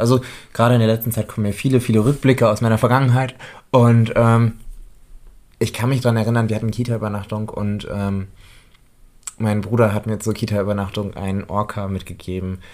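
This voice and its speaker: A man talks at a fairly quick pace in a plain, everyday voice, fairly low in pitch, with fairly even intonation. The recording is very clean and the background silent. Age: 20s. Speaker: podcast co-host and daycare educator. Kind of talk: casual chat.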